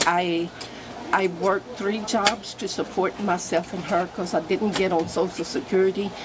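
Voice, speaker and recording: A woman's medium-pitched voice, fairly slow and fairly even in intonation, over noticeable background noise. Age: 70s. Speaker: homeowner receiving repairs. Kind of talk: interview testimony. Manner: halting.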